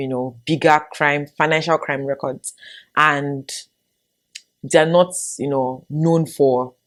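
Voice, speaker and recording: A woman with a Nigerian accent speaks at a fairly slow pace. Her voice is very deep and low, with fairly even intonation. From Nigeria, Lagos. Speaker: YouTuber. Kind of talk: casual vlog monologue.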